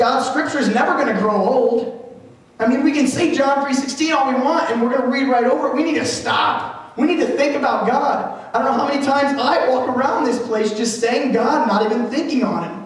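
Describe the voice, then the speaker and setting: With hardly any pauses, a man talks at a fairly quick pace in an extremely high pitch amid strong room echo. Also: ordinary pitch variation. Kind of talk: live motivational / sermon speech to a crowd. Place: hall.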